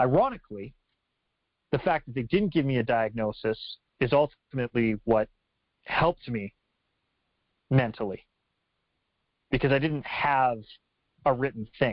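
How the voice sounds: A man speaks at a fairly slow pace with medium pitch and lively intonation, leaving long, frequent pauses. The sound is dry and close, with no echo.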